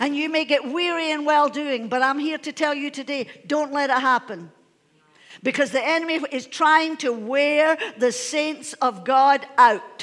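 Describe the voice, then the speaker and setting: A woman speaks in a high voice at a fairly slow pace, her tone animated and her pitch moving in an ordinary way. The background stays quiet. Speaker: pastor. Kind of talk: sermon. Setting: church. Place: church.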